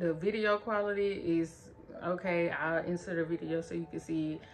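Light background noise sits behind a woman's voice. She has a fairly low pitch and fairly even intonation. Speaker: product reviewer. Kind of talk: casual review vlog chat. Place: home room. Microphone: phone near.

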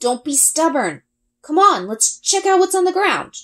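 The put-on character voice sounds strained, pitched extremely high, and moves at a moderate pace. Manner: strained, urging; through gritted teeth.

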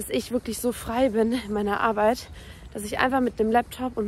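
The pace is very fast. The sound is dry with no echo. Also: woman. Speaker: vlogger. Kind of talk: casual vlog chat. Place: street. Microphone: phone near.

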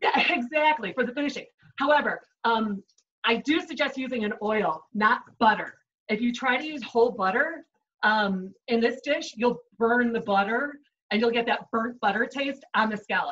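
Speaking at a moderate pace, a woman with a high-pitched voice shows ordinary variation in pitch. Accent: American. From Chicago. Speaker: chef giving a cooking demo. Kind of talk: cooking tutorial. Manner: upbeat, conversational. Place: kitchen. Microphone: video call.

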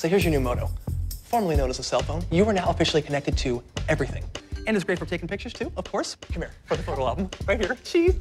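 Music plays in the background as a man speaks. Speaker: actor. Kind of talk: comedic TV commercial. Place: home room.

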